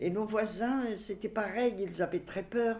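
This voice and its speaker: A woman speaks fairly slowly in a dark, mellow tone on a very clean recording with a silent background. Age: 80s+. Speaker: grandmother recounting memories. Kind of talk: reminiscing interview. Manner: halting.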